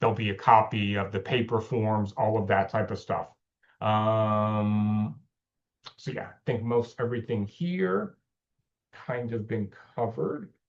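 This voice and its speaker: A man with an American accent speaks loudly at a fairly slow pace, with a fairly low pitch and ordinary pitch variation. He leaves long, frequent pauses. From upper northeastern US. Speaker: volunteer trainer. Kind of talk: training session.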